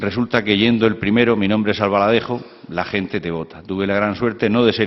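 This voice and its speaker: Here a man speaks at a very fast pace. His pitch is fairly low and his intonation fairly even. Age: 60s. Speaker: former mayor and senator, panelist. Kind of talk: round-table talk. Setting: lecture hall with audience.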